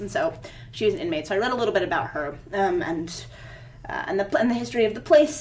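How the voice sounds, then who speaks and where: Delivered at a very fast pace with very wide pitch swings, this voice with an American accent carries audible room echo and noticeable background noise. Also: woman. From Virginia, US South. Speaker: poet. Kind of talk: interview. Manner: halting, with many repetitions and fillers.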